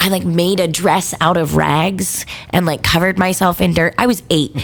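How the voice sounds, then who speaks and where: A woman talks in an animated tone at a moderate pace. Noticeable background noise runs underneath. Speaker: band singer. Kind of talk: casual chat. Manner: loud.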